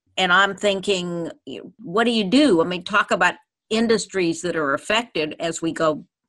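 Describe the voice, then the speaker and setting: A woman's medium-pitched, bright and sharp voice with lively intonation at a fairly slow pace, on a very clean recording with a silent background. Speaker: radio host. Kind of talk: casual chat about current events.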